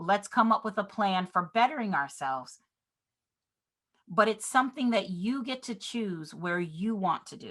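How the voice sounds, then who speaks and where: Against a quiet background, a woman's energetic voice has a bright, sharp tone and ordinary pitch variation. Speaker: real estate business trainer. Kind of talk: online seminar.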